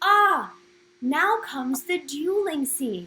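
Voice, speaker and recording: A woman uses a put-on character voice with a high pitch. She speaks at a very slow pace. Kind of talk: bedtime story. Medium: read story.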